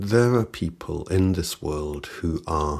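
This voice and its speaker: A man speaks at a very slow pace in a very deep, low pitch. His pitch variation is ordinary. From northern England, Salford. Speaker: musician and songwriter. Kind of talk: personal reflective monologue. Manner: reflective.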